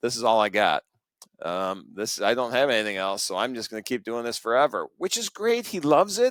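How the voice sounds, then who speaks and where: The recording is very clean, with a silent background. A man speaks in a normal speaking voice at medium pitch and a moderate pace. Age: 60s. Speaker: accountant, firm co-founder. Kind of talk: interview.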